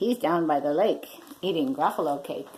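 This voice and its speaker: At a moderate pace, the voice is a put-on character voice. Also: woman, fairly low pitch for a woman. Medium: read story.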